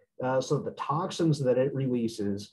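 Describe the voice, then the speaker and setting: Over light background noise, a man speaks in a plain, everyday voice at a medium pitch with ordinary pitch variation. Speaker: veterinarian. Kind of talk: lecture. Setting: video call. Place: office. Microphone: webcam.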